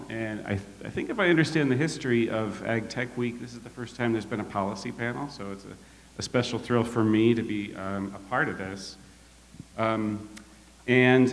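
Speaking at a moderate pace, a man shows big swings in loudness. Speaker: panel moderator. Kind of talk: panel introduction speech. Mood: warm, lightly humorous. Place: hall. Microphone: handheld.

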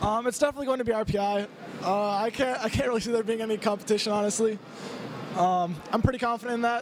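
Talking at a very fast pace with an American accent, a man uses a high pitch and fairly even intonation amid noticeable background noise. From Massachusetts. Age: 20s. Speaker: college esports player. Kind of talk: interview. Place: hall. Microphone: handheld.

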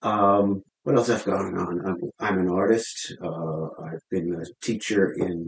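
With a Long Island accent, the speaker keeps a fairly even intonation. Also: man. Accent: Long Island New York English. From US Northeast, Long Island (North Fork, Mattituck). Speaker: former museum chairman and sea captain. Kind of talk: interview.

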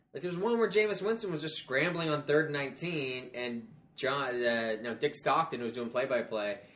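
The speech moves at a moderate pace with lively intonation. Noticeable background noise sits behind it. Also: man, fairly high pitch for a man. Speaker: podcast co-host. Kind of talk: casual chat.

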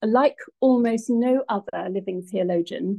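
Against a quiet background, a woman speaks at a fairly slow pace in a dark, mellow tone. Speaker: lecture host introducing guest. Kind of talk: formal introduction speech. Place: hall. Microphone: phone near.

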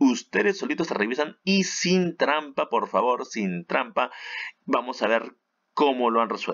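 This man's fairly high voice carries an animated tone and vocal fry. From Peru. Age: 30s. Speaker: English teacher. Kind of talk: tutorial.

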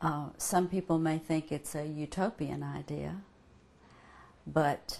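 Fairly even in intonation, a woman's voice sits at a very deep, low pitch. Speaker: interviewee. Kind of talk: interview answer. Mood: warm, earnest. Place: home room.

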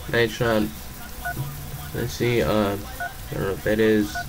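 A man's voice over noticeable background noise. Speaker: product reviewer. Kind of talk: casual product review. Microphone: webcam.

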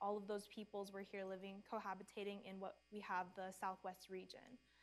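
A woman at a moderate pace, in a monotone, flat intonation. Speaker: former student historian. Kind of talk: panel discussion. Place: stage. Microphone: lapel.

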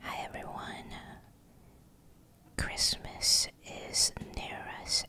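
This voice belongs to a woman. She whispers, going at a very slow pace. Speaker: ASMR creator. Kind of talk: ASMR whispered show-and-tell. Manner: whispered, soft-spoken. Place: home room.

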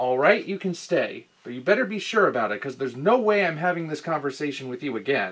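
Delivered at a fairly quick pace, this put-on character voice has a slightly husky edge and big pitch swings. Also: man, fairly high pitch for a man.

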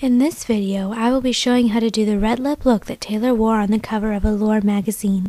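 Soft-spoken and fairly high-pitched, a woman talks at a fairly quick pace with fairly even intonation. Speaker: beauty vlogger. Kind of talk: makeup tutorial voice-over. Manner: quiet, soft-spoken.

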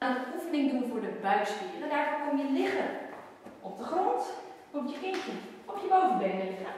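A woman's high-pitched voice with very wide pitch swings at a moderate pace, long, frequent pauses, strong room echo and light background noise. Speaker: fitness instructor. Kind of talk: tutorial; exercise demonstration with verbal cues. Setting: exercising with children on a mat. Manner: brisk, clear, instructive; encouraging, friendly. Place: gym. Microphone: camera far.

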